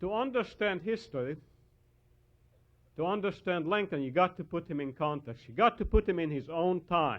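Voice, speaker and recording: A man with a Hungarian accent speaks at a high pitch, his intonation lively and broken by long, frequent pauses. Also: moderate pace. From Hungary. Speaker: historian and author. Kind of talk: lecture.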